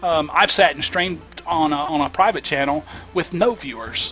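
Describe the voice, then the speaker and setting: Music plays behind a man with a Southern US accent. His pitch is fairly high and his intonation fairly even. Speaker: gaming YouTuber and streamer. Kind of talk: casual gameplay commentary.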